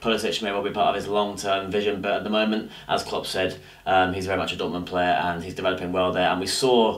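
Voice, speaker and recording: Talking at a very fast pace with hardly any pauses, a man uses a fairly low pitch and monotone, flat intonation. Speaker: football fan vlogger. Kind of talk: casual vlog chat. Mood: disappointed, mildly exasperated. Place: home room.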